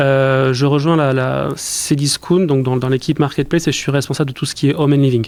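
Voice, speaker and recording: With a southwestern French accent, a man speaks at a fairly quick pace with a fairly high pitch, monotone, flat intonation and very even loudness. He takes hardly any pauses, and there is noticeable background noise. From southwestern France, southern Landes. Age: 30s. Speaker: e-commerce executive. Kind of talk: interview. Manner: hesitant, many repetitions.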